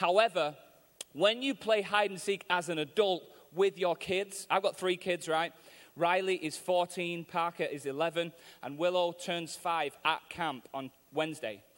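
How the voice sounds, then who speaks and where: This man has a Mancunian accent and a high-pitched voice. He talks in an animated tone at a fairly slow pace. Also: ordinary pitch variation. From Manchester, England. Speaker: visiting preacher. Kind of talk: sermon. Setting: church with live audience. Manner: humorous, animated.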